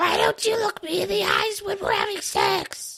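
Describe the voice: Squeaky and raspy, this put-on character voice moves along at a moderate pace. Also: female-sounding voice.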